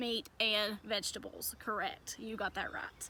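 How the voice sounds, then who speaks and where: A woman with a strong Southern accent speaks at a fairly slow pace. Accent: strong Southern twang. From US South. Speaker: reptile educator and video host. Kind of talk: educational talk to camera.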